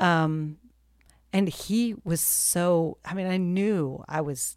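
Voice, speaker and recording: A woman's fairly low voice with ordinary pitch variation, in a very clean recording with a silent background. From military family, moved around; calls Texas home. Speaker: nonprofit director and army spouse. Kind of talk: interview, personal story.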